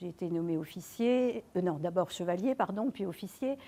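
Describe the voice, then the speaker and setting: A woman talks at a moderate pace in a medium pitch, her tone dark and mellow. The recording is very clean, with a silent background. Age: 70s. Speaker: retired university administrator. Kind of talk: testimony. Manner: hesitant, many filler words.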